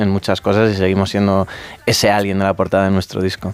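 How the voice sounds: Speaking at a fast pace, a man keeps a low pitch and monotone, flat intonation.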